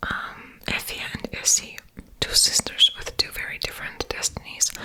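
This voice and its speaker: Whispering at a moderate pace, a woman shows big swings in loudness over noticeable background noise. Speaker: ASMR content creator. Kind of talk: ASMR book haul, casual talk to camera. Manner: whispered, soft-spoken.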